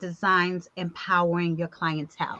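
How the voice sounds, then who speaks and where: A woman speaks at a moderate pace with a bright, sharp tone. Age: 50s. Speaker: talk show host, awards executive producer. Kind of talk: casual video chat interview.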